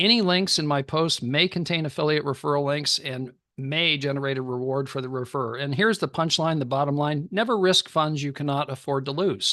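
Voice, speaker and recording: Against a quiet background, a man talks at a fairly quick pace with hardly any pauses, his fairly high voice bright and sharp in tone with ordinary pitch variation. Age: 60s. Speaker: network marketer and trader. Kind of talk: sales pitch.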